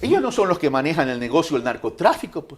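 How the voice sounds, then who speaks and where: A man at a fairly quick pace. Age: 60s. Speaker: presidential candidate. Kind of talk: interview.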